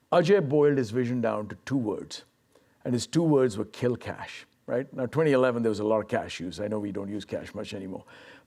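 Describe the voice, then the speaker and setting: At a very fast pace, a man speaks with a medium pitch, a dark, mellow tone and ordinary pitch variation. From India. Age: 60s. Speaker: management consultant. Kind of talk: fireside chat.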